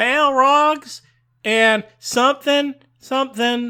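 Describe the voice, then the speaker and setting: A man performs a put-on character voice at an extremely high pitch. He speaks very slowly. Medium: read story.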